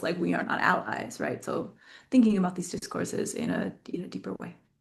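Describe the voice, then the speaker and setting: A woman with an American accent speaks at a medium pitch with vocal fry. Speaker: academic researcher. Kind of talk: academic Q&A. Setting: video webinar. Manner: casual, filler-heavy.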